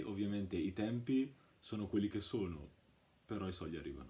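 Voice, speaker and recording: Fairly low in pitch, a man speaks with a dark, mellow tone. His pace is fairly quick. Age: 20s. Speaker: customer giving a testimonial. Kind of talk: testimonial. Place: home room. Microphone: phone near.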